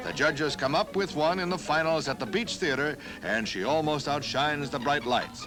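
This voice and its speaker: A man with an upbeat tone, fairly high pitch, lively intonation and a moderate pace, with music in the background. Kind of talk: newsreel narration.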